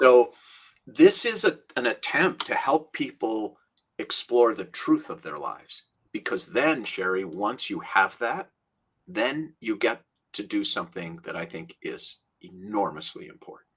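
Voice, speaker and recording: Speaking at a fairly slow pace, a man shows big swings in loudness. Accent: American. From Minnesota, US Midwest. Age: 60s. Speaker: rabbi and author. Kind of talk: interview conversation.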